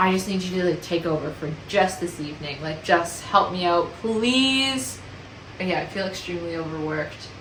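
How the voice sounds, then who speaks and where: There is noticeable background noise as a woman talks at a moderate pace with a fairly low pitch and ordinary pitch variation. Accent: Canadian. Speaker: vlogger. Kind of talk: casual vlog monologue.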